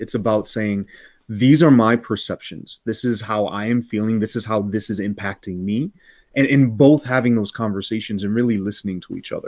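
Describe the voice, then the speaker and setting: At a moderate pace, a man speaks with fairly low pitch and fairly even intonation. The recording is very clean, with a silent background. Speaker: principal and equity consultant. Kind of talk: live interview conversation. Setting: live video stream. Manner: calm, gentle.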